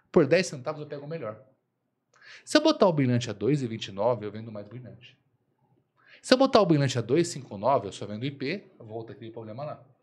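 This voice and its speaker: Loudness swings widely as a man talks at a moderate pace with lively intonation and long, frequent pauses. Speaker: supermarket consultant, co-host. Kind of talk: casual business podcast chat. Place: studio. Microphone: studio mic.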